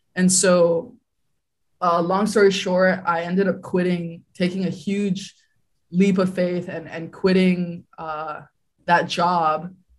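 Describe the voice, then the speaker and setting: Somewhat breathy and delivered in a monotone, flat intonation, the speech moves at a very slow pace. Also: woman, fairly low pitch for a woman. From Hawaii. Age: 20s. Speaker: real estate investor. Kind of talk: interview.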